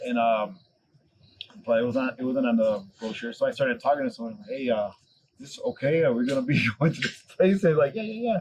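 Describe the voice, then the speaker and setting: A man talks at a fairly quick pace and a medium pitch with lively intonation. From Chicago, US. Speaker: podcast guest, former bar owner. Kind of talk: casual chat. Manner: animated storytelling.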